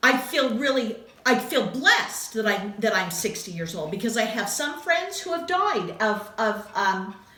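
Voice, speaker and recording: Over noticeable background noise and audible room echo, a woman with a fairly high pitch speaks at a fairly slow pace with hardly any pauses, her pitch swinging very widely. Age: 60s. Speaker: craft video host. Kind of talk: casual chat.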